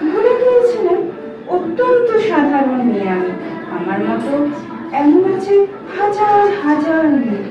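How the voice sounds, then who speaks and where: Over music in the background, the voice moves through very wide pitch swings. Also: woman, extremely high pitch for a woman. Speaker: teacher trainee. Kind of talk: poetry reading. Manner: emotive.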